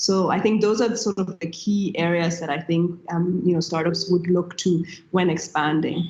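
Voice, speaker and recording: With a German accent, a woman speaks at a fairly low pitch and a moderate pace, hardly pausing. Her intonation is fairly even, and background noise is noticeable. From Nigeria. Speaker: tech entrepreneur. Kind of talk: panel discussion.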